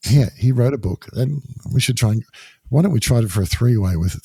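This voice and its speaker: Recorded with a dry, close sound and no echo, a man speaks at a fairly quick pace in a dark, mellow, somewhat breathy tone. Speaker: podcast guest. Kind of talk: casual chat.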